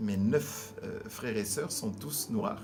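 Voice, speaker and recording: A man with a fairly low voice and ordinary pitch variation speaks over noticeable background noise, with audible room echo. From DR Congo, Kinshasa. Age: 60s. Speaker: pastor. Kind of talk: interview. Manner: halting.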